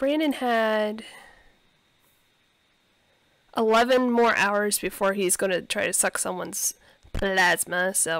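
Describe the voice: At a fairly slow pace, a woman speaks with lively intonation, a medium pitch and a fairly bright tone.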